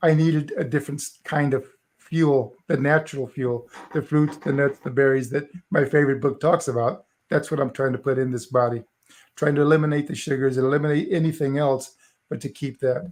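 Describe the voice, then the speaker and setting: A man's fairly high voice moves along at a fairly quick pace. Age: 60s. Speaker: motivational speaker. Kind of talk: interview testimony. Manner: animated.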